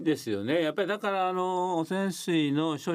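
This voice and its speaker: The recording is very clean with a silent background, and a man talks at a moderate pace. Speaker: nuclear policy researcher and professor. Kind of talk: radio interview.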